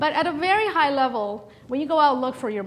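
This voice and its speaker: Against noticeable background noise, a woman talks very fast with lively intonation. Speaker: startup founder and former venture capitalist. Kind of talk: seminar talk. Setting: seminar room with audience. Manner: hesitant, many fillers.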